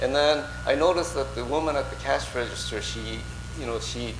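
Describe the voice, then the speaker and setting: A man speaks at a fairly quick pace in a room with audible echo. Noticeable background noise is also present. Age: 60s. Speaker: Buddhist minister. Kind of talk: sermon. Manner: halting, many fillers.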